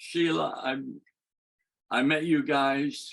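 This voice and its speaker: A man's fairly high voice at a very slow pace, with fairly even intonation. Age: 80s+. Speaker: former sect member, memorial attendee. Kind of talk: brief remarks at a memorial. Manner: halting, repeats words.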